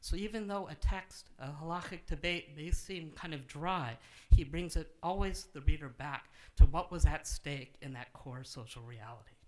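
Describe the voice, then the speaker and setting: The loudness swings widely from moment to moment. The pace is moderate, with ordinary pitch variation. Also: man. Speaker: introducer of the lecture. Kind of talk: formal introduction speech. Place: hall. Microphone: podium.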